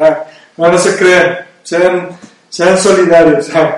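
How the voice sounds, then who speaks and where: Noticeable background noise and audible room echo surround this man's speech. His high-pitched voice moves very slowly in a flat monotone. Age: 30s. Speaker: radio and video podcast host. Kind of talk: casual chat.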